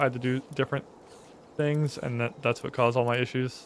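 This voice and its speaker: At a medium pitch, a man talks at a fairly quick pace. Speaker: gaming streamer. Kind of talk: live gameplay commentary. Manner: soft-spoken. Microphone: viewer says stream audio is quiet.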